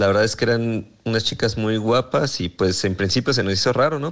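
A man at a moderate pace with ordinary pitch variation, an ordinary speaking voice. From Mexico, Morelia. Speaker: listener sending voice message. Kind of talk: testimony.

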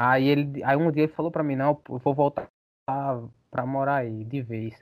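At a moderate pace, a man speaks in a normal speaking voice with medium pitch and fairly even intonation. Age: 30s. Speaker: vocalist of a hardcore band. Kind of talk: casual chat.

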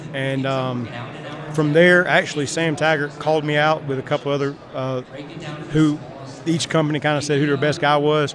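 A man with a fairly high voice speaks in a monotone, flat intonation, leaving long, frequent pauses over noticeable background noise. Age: 50s. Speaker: sales trainer. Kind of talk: casual chat.

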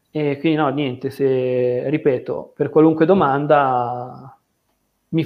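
A man's fairly high-pitched, monotone, flat delivery at a very slow pace, in a slight Milanese accent. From Milan area, northern Italy. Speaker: mathematics graduate working in software analysis. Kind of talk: casual interview on livestream.

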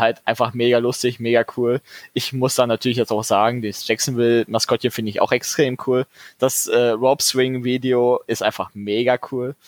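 Captured with a dry, close sound and no echo, a man speaks in a flat monotone. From Ruhr area, Dortmund. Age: 20s. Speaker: sports fan community organiser. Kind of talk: casual chat.

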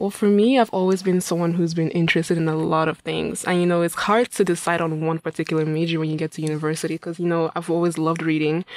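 A woman talks at a very fast pace with hardly any pauses, her pitch fairly low and her intonation fairly even. Background noise is noticeable. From Nigeria, Imo State. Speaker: student. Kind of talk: radio interview. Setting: radio studio.

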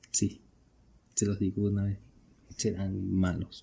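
A man speaks at a fairly low pitch, his tone dark and mellow and somewhat breathy. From Venezuela. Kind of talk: casual solo podcast monologue.

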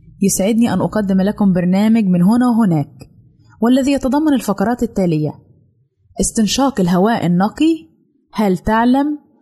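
Her voice is somewhat breathy with a dark, mellow tone, and this woman speaks with lively intonation. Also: fairly high pitch for a woman, moderate pace, very even loudness. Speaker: radio presenter of a general-interest segment. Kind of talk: scripted informational narration.

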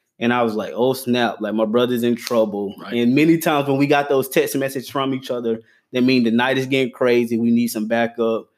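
A man with an American accent, medium pitch and a fairly quick pace, hardly any pauses, on a very clean recording with a silent background. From US South, Gaffney, South Carolina. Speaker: podcast host and pastor. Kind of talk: casual chat. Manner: animated.

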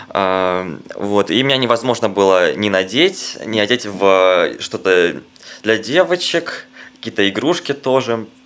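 The speaker goes at a very slow pace with lively intonation. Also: man, fairly low pitch for a man. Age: 20s. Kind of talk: casual interview chat.

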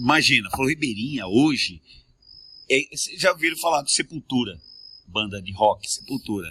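Over dry, close sound with no echo, a man speaks at a moderate pace with a bright, sharp tone, lively intonation, medium pitch, and long, frequent pauses. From Mato Grosso, Brazil. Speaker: singer, composer and TV presenter. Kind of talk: casual interview chat.

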